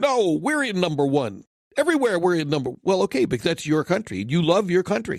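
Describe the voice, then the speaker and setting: A man's high-pitched voice. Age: 60s. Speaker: podcast guest. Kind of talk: casual chat.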